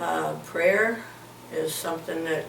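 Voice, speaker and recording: Noticeable background noise runs under a woman's voice. Room echo is audible too. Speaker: grandmother interviewed for school project. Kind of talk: interview answers. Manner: halting, many fillers.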